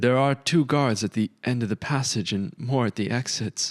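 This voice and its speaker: A man's shaky, put-on character voice at medium pitch, with ordinary pitch variation, a moderate pace and a dry, close sound with no echo. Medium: read story. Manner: hesitant, strained.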